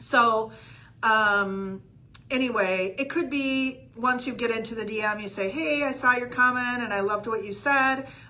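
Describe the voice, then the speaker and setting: A woman with ordinary pitch variation and audible room echo. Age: 60s. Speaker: real estate coach. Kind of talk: livestream coaching talk. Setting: live video stream. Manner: casual with many fillers.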